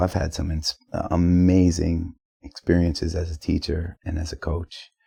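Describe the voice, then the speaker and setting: This man's pitch is very deep and low, with a dark, mellow, somewhat breathy tone. His intonation is fairly even, and the sound is dry and close with no echo. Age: 40s. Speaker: musician. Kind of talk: casual chat. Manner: halting.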